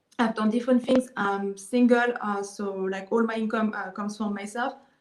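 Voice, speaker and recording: A woman speaks fairly quickly in a fairly high voice with monotone, flat intonation. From Israel. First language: Hebrew. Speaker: online marketer. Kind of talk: interview. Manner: halting, many fillers.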